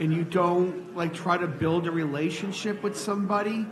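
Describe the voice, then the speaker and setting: A loud, high-pitched man at a moderate pace with ordinary pitch variation, amid noticeable background noise and audible room echo. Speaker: audience member asking questions. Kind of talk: live Q&A discussion. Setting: stage with audience.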